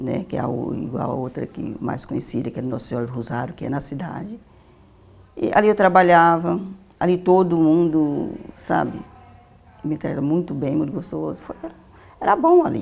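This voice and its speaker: Speaking at a moderate pace with lively intonation and long, frequent pauses, a woman uses a very deep, low pitch. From Vale do Jequitinhonha, Minas Gerais, Brazil. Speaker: social educator. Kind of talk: interview answer.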